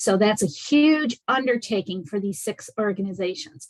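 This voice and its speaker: The woman's voice is somewhat breathy. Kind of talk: presentation in online meeting.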